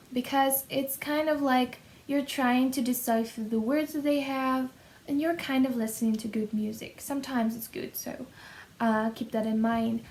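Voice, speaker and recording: With a Russian accent, a woman talks in a high pitch and fairly even intonation. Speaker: YouTuber, language learner. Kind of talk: casual vlog talk. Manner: hesitant, with fillers.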